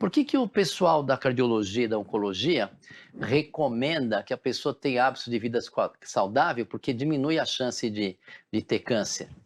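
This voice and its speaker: A plain, everyday voice speaks at a moderate pace with ordinary pitch variation. The sound is dry and close with no echo against a quiet background. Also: man, medium pitch for a man. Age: 60s. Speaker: physician. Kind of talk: interview.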